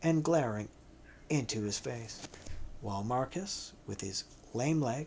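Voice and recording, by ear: A natural voice reading aloud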